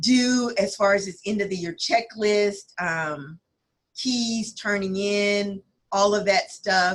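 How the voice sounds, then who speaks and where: Her pitch rises and falls in an ordinary way. The voice is a woman's. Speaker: school principal. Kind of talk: staff briefing on video call. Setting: video call with screen share. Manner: halting.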